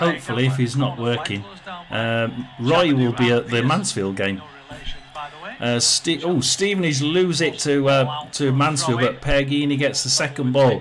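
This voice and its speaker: A man with a Yorkshire accent speaks at a fairly slow pace in a medium pitch, his pitch varying in an ordinary way. Loudness stays very even over noticeable background noise. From northern England, South Yorkshire (Rotherham). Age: 60s. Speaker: football watchalong streamer. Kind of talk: casual live commentary. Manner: halting, many fillers.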